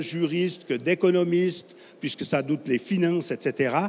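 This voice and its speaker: High-pitched man with a Swiss French accent and ordinary pitch variation. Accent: Swiss French (Romand). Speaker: conference speaker, energy infrastructure company representative. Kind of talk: conference talk.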